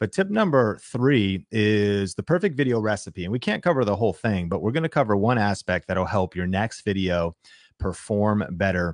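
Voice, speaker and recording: Here a man speaks with an energetic tone and a fairly low voice. His pitch moves in an ordinary way, and the background is quiet. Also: moderate pace, dry, close sound with no echo. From US Pacific Northwest. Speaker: YouTube coach and live show host. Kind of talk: live stream workshop.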